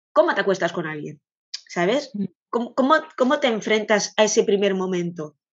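Lively in intonation and at medium pitch, a woman talks at a moderate pace with long, frequent pauses. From Catalonia, Spain. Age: 40s. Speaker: vintage clothing shop owner. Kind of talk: interview.

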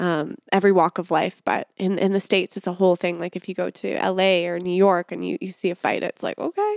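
On a very clean recording with a silent background and a dry, close sound with no echo, a woman speaks at a fairly quick pace with hardly any pauses, in a medium pitch and a monotone, flat intonation. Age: 30s. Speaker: podcast host. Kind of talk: casual interview chat. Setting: studio.

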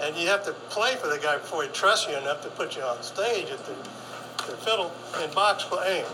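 A man with an American accent talks at a fairly quick pace in a raised, projected voice, high-pitched with lively intonation, amid audible room echo and noticeable background noise. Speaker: fiddler and author. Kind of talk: workshop talk.

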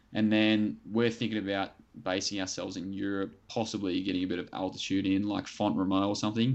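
A man talks at a fairly quick pace in an Australian accent. His fairly low voice stays monotone and flat. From New South Wales south coast, Australia. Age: 20s. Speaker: middle-distance runner. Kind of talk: interview.

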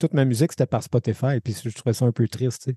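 Against a quiet background, a man talks fairly quickly at medium pitch in a dark, mellow, somewhat breathy tone with ordinary pitch variation, in a dry, close sound with no echo. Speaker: podcast co-host. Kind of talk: casual interview.

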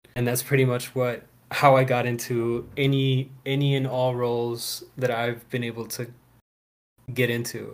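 This man has an ordinary speaking voice with an American accent and a medium pitch. He keeps a moderate pace and a fairly even intonation. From US, Houston Texas and Maryland (PG County), Salvadoran parents. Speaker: actor and fatherhood program worker. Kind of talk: casual interview chat.

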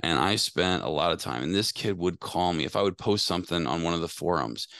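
A man's very deep, low voice with vocal fry and ordinary pitch variation, dry and close with no echo, against a quiet background. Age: 40s. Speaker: HVAC technical trainer. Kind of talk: casual interview. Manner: halting, many fillers.

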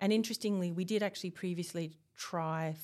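A woman with a slight Australian accent speaks at a fairly low pitch on a very clean recording with a silent background. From Australia, Tasmania. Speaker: university researcher, principal investigator. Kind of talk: interview. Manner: hesitant, with fillers.

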